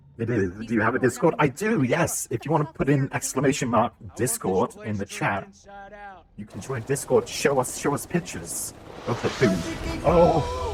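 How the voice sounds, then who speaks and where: Through noticeable background noise, a man with a British accent speaks at a moderate pace with very wide pitch swings. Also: medium pitch for a man. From Britain. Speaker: video game streamer. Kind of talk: live gameplay stream chat. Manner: casual, chatty.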